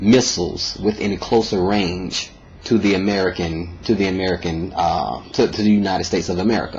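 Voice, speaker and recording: With noticeable background noise around him, a man speaks fairly quickly in a fairly low pitch and fairly even intonation. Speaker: video blogger. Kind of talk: opinion monologue. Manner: halting, many fillers and repeats.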